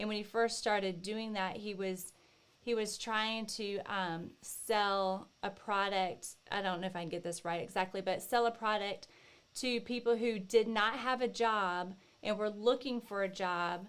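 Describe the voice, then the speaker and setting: Fairly slow, fairly even speech from a woman at medium pitch. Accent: Southern US. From US South, Northeast Florida. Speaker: co-host, author's wife. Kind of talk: casual chat.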